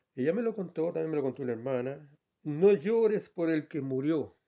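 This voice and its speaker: With a dark, mellow tone, a man speaks at a moderate pace. His intonation is lively, and the background is quiet. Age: 70s. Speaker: lay preacher and farmer. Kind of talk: sermon.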